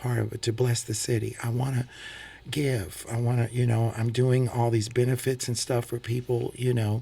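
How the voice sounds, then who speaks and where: A man with an American accent, medium pitch, a somewhat breathy quality and a dark, mellow tone. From US Midwest (St. Louis). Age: 60s. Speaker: singer and preacher. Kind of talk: radio interview. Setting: radio studio.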